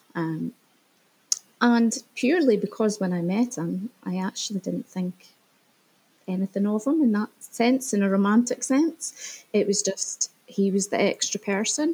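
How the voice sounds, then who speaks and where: In a dry, close sound with no echo, a woman speaks fairly slowly with lively intonation. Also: medium pitch for a woman. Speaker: guest sharing separation story. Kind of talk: interview. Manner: halting.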